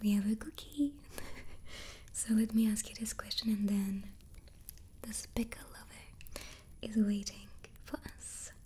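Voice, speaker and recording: A soft-spoken woman with a dark, mellow tone and a fairly high pitch speaks at a very slow pace, calm and somewhat breathy. Her intonation stays fairly even while her loudness swings widely, broken by long, frequent pauses. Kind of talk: ASMR soft-spoken chat. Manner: soft-spoken, calm.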